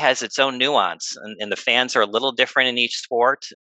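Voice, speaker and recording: Male voice in a Midwestern American accent, bright and sharp, at a moderate pace, with a dry, close sound, no echo, and a quiet background. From US Midwest, Northwest Indiana. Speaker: sports business executive. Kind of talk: interview.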